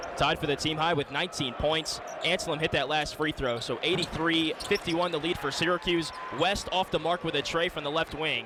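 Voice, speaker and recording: Noticeable background noise sits under a man whose pitch is fairly high. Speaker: radio play-by-play sports broadcaster. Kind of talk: radio sports play-by-play commentary. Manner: fast-paced, excited, energetic live action calling.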